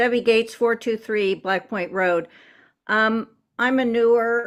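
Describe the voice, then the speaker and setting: On a very clean recording with a silent background, a woman with an ordinary speaking voice talks at a fairly slow pace with ordinary pitch variation. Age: 60s. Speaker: resident giving public comment. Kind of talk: public comment at school board meeting.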